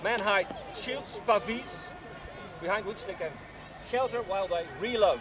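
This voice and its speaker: Crowd noise fills the background as a man with a Dutch accent speaks at a fairly slow pace. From Netherlands. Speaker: historical reenactor. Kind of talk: live demonstration talk.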